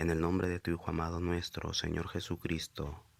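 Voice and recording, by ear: A man speaks at a moderate pace with a low pitch, vocal fry and monotone, flat intonation.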